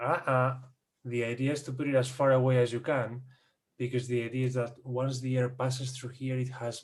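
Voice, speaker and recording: Speaking fairly quickly in a monotone, flat intonation, a man with a non-native accent uses a medium pitch and sounds somewhat breathy. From Spain. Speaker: audio and recording expert guest. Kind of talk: casual explanatory chat. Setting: Zoom video call.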